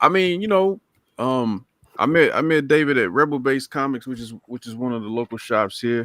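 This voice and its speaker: In an eastern North Carolina accent, a man speaks at medium pitch with lively intonation and big swings in loudness. The sound is dry and close, with no echo. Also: moderate pace. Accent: US Southern (eastern North Carolina). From Lumberton, North Carolina. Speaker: comic book creator. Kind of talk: casual chat.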